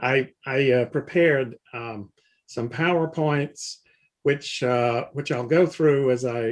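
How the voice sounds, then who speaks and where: Speaking fairly slowly in a Southern US accent, a man has a medium pitch and ordinary pitch variation. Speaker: philosophy professor. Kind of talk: lecture. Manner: reading aloud.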